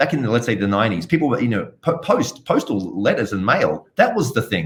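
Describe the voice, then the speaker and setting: Very fast and with very wide pitch swings, a man talks in a slight Australian accent. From Australia, Sydney. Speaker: blockchain entrepreneur. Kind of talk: interview.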